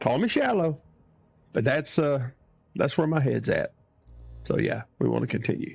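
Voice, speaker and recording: With a Southern US accent, a man speaks with long, frequent pauses. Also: moderate pace, very even loudness. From US South. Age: old. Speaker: gaming streamer. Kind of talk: live gameplay commentary. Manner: animated.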